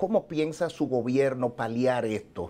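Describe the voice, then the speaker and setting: A man with a dark, mellow tone speaks at a medium pitch and a fairly slow pace, with ordinary pitch variation. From Dominican Republic. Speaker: TV show host. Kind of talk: live TV interview. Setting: on location in New York. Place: office.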